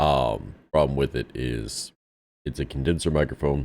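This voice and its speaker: Here a man speaks with a very deep, low pitch. Vocal fry runs through his voice. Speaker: gaming streamer and navy veteran. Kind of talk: casual gameplay commentary. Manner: conversational with many fillers.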